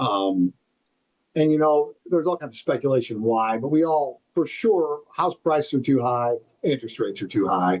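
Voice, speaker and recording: Here is a man with a plain, everyday voice at a fairly high pitch. He keeps a moderate pace with lively intonation. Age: 60s. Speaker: real estate marketing business owner. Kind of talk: podcast interview. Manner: conversational, filler-heavy.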